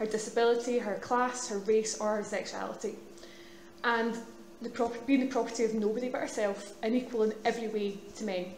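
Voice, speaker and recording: A woman with a Glaswegian accent speaks at a fairly quick pace in a fairly high, monotone voice with flat intonation, with noticeable background noise and audible room echo. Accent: Glaswegian Scottish. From Scotland, Glasgow. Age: 30s. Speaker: student union officer. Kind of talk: public speech. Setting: stage with audience. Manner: fast.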